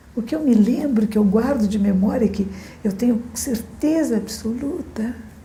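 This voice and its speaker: A woman's fairly high voice, fairly slow and with ordinary pitch variation, in audible room echo. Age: 60s. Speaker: Zen Buddhist teacher. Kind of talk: dharma talk.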